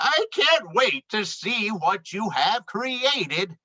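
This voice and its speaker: A put-on character voice, fairly high in pitch and delivered at a very slow pace. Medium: read story. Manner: polite, hesitant.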